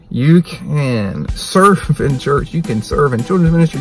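A man's voice comes across dry with no echo, while faint music sits in the background. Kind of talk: devotional sermon-like vlog talk. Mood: earnest, urging. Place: car. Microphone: phone near.

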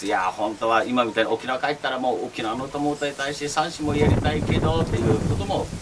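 A man rattles off his words at a very fast pace against loud background noise. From Okinawa, Japan. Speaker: channel host interviewer. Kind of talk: casual talk show interview. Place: home room. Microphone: camera far.

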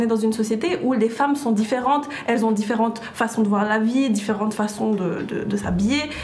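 This woman talks at a moderate pace with ordinary pitch variation. There is light background noise. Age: 20s. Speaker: graduate student. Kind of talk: group discussion. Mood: earnest, indignant. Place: studio. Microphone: lapel.

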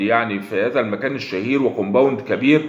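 A man with an Egyptian accent speaks at a fairly quick pace with lively intonation, and some room echo can be heard. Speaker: online news commentator. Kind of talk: video commentary monologue. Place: home room. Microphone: phone near.

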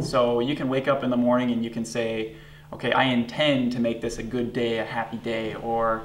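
Over light background noise and audible room echo, a man talks at a fairly quick pace with fairly even intonation. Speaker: guest. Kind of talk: interview answer. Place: studio.

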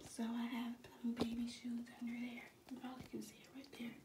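Noticeable background noise accompanies a woman speaking at a fairly quick pace. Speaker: vlogger. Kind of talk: casual vlog chat.

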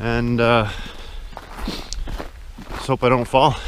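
A man at a very slow pace with ordinary pitch variation, a dry sound with no echo, and light background noise. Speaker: hiker vlogger. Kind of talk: casual vlog chat. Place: forest. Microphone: phone near.

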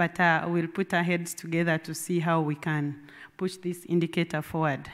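Against a quiet background, a woman speaks at a very slow pace. Her pitch is fairly low. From Uganda. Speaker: government water ministry official. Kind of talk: conference presentation. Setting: conference meeting room with audience. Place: meeting room.

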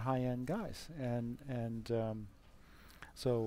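At a moderate pace, a man speaks in a medium pitch, the sound dry with no echo. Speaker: interviewer. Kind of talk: interview. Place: hall. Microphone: headset.

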